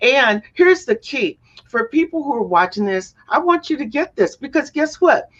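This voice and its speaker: Animated in tone, a woman with an American accent speaks at a moderate pace with very wide pitch swings. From US South. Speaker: talk show host. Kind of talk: interview show. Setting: studio.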